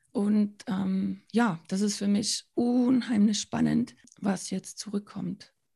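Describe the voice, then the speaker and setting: Very slowly, a woman speaks at a medium pitch in a somewhat breathy voice with a dark, mellow tone and fairly even intonation. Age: 40s. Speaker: founder and children's author. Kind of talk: interview.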